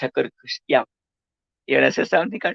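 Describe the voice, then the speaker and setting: This is a man speaking with a Gujarati accent. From India, Gujarat. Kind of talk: interview, life story. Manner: halting, many fillers.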